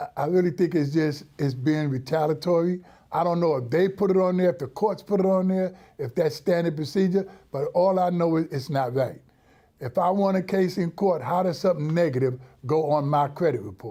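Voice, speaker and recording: This man talks at a fairly quick pace in a high voice with a dark, mellow tone. His pitch varies in an ordinary way, and the recording is very clean with a silent background. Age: 70s. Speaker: tenant in consumer dispute. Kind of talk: interview testimony.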